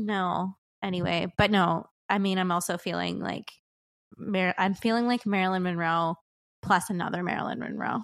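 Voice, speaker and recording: A normal speaking voice carries fairly even intonation. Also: woman, medium pitch for a woman. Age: 30s. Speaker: podcast co-host. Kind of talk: casual chat. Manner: fast.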